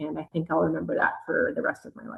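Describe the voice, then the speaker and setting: Talking at a very fast pace, a woman with a slight Canadian accent speaks in a fairly low pitch with vocal fry. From Canada. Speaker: air force officer and mission control communicator. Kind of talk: interview answers.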